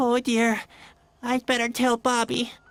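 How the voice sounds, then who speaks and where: A put-on character voice speaks at a fairly slow pace. The intonation stays monotone and flat. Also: female-sounding voice, high pitch for a woman. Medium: video game.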